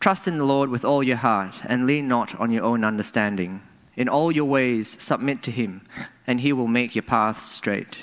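Using an ordinary speaking voice, a man talks at a medium pitch and moderate pace with ordinary pitch variation against a quiet background. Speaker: scripture reader. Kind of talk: reading aloud. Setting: church. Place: church. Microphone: podium.

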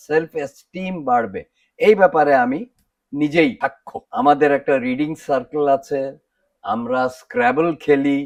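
The pitch swings very widely over a quiet background. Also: man. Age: 70s. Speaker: dental patient. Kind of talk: testimonial.

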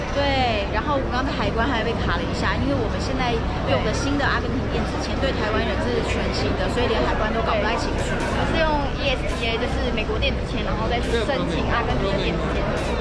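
A woman at a very fast pace, crowd noise behind her. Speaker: travel vlogger. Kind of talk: casual vlog chat. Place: station. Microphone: phone near.

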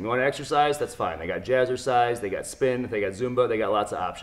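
Very rapid male speech, its pitch rising and falling in the usual way. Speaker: strength coach. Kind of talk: tutorial. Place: gym. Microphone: camera far.

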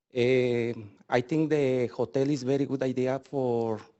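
Speaking in a non-native accent, a man keeps a medium pitch in a flat monotone. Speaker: small business owner. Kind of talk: public hearing testimony. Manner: halting.

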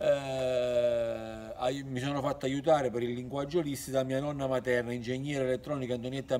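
At a moderate pace, a man talks at medium pitch. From Campania, southern Italy (San Felice a Cancello); Campania, Italy. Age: 50s. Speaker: YouTuber; storyteller. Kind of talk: monologue to camera. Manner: halting. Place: open country.

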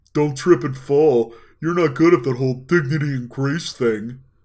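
A man speaks in a put-on character voice at a medium pitch and a moderate pace. The recording is very clean, with a silent background. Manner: mocking, teasing.

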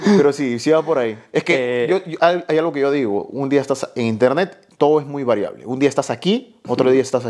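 Fairly quick speech with hardly any pauses and ordinary pitch variation, over a quiet background. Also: man. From Peru. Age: 20s. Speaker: fitness youtuber. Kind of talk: casual chat. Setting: host's home. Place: home room. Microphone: lapel.

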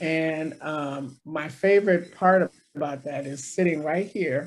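A woman speaks with a very deep, low pitch and ordinary pitch variation. Light background noise can be heard. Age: old. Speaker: city council member. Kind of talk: casual interview conversation. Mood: friendly, conversational. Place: office. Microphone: video call.

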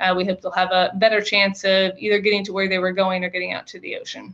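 Over a quiet background, a woman talks at medium pitch with an American accent. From US East Coast. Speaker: federal water operations manager; presenter. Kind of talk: technical presentation. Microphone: video call.

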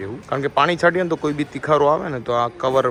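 A man's fairly high-pitched voice shows ordinary pitch variation, with noticeable background noise behind it. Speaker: vlogger. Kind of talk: casual vlog narration. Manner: animated.

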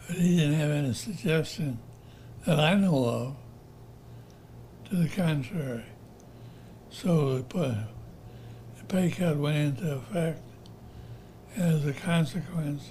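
A man's somewhat breathy voice, fairly high in pitch with ordinary pitch variation, at a fairly slow pace with long, frequent pauses. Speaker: retired college professor, alumnus. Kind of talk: oral history interview answer.

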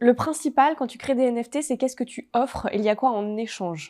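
A woman's high-pitched voice with a dark, mellow tone, at a fairly quick pace over a quiet background. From French Alps (Haute-Savoie); French Alps. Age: 20s. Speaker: entrepreneur; interview guest. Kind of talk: interview. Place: studio. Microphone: lapel.

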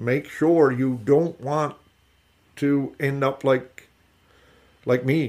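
In a Newfoundland accent, a man with a fairly high voice speaks at a very slow pace, leaving long, frequent pauses, his intonation fairly even. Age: 60s. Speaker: fish harvester. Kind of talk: interview. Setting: at home.

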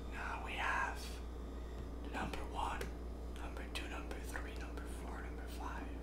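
A man speaks at a fairly slow pace, leaving long, frequent pauses. Audible room echo and loud background noise surround him. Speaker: toy reviewer. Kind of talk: ASMR toy review and assembly. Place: home room.

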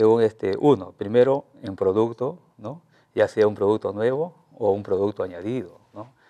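Against a quiet background, a man with a dark, mellow tone speaks in big swings of loudness. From Peru, La Libertad (Trujillo area); La Libertad, Peru. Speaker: teacher and innovation researcher; interviewee. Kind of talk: TV news interview. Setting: TV studio. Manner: halting, many fillers and repetitions. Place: studio. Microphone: lapel.

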